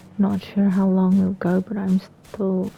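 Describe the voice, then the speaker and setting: A woman at a medium pitch and moderate pace, over noticeable background noise. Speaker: gaming YouTuber. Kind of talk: let's play commentary. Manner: halting, repeats words; casual, chatty.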